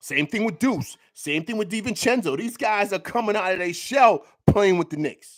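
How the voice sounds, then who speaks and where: On a very clean recording with a silent background, a high-pitched man with a New York accent speaks at a moderate pace with lively intonation. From New York City. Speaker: sports YouTuber. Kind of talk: postgame breakdown. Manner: stutters, repeats words; animated.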